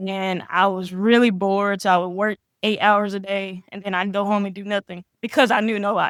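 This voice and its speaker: Speaking at a fairly quick pace in a Southern US accent, a woman keeps her medium-pitched voice in a monotone with flat intonation. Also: dry, close sound with no echo. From Mississippi. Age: 20s. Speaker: professional grappler. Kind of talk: casual interview.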